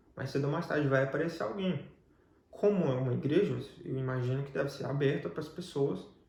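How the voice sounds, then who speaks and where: A fairly high-pitched man at a fairly quick pace, with ordinary pitch variation and audible room echo. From Brazil. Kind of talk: testimony interview.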